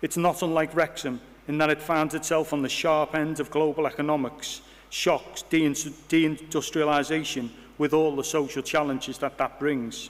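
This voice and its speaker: A man with a Liverpool accent speaks at a moderate pace and a fairly high pitch, his intonation monotone and flat. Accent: Scouse (Liverpool). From Liverpool, England (Bootle). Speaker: university vice-chancellor. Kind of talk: ceremonial speech. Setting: hall with audience. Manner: formal.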